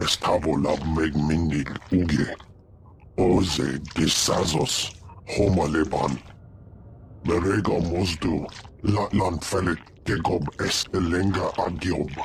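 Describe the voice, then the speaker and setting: A man does a put-on character voice with a very deep, low pitch at a fairly slow pace, pausing long and often. Background noise is clear. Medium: video game. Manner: speaks unintelligible alien language.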